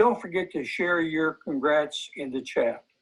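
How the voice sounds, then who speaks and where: In a Southern US accent, a man speaks very slowly at a high pitch. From US South, Hillsborough County, Florida. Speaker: volunteer recruiter. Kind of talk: event presentation, reading names.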